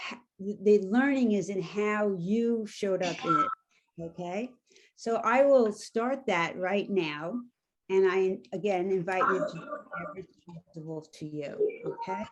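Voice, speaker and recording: Her New York accent carrying lively intonation, a woman talks at a fairly slow pace with big swings in loudness. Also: medium pitch for a woman. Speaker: coaching trainer. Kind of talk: guided exercise; workshop facilitation. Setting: video call.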